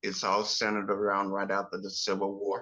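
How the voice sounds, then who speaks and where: A man with an American accent, a bright, sharp tone and a moderate pace. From US South, rural North Carolina. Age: 60s. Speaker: author. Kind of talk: interview.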